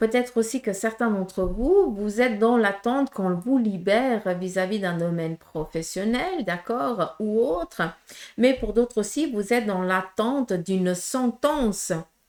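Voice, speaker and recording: A woman with a Portuguese accent, fairly high in pitch, with lively intonation at a fairly slow pace. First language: Portuguese (speaking French). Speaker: medium, tarot reader. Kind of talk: tarot reading guidance to viewers. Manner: hesitant, many fillers.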